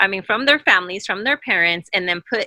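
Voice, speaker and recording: A woman with a medium pitch and a bright, sharp tone speaks with lively intonation in a dry, close sound with no echo. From US, Mexican immigrant family. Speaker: panelist. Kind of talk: casual discussion.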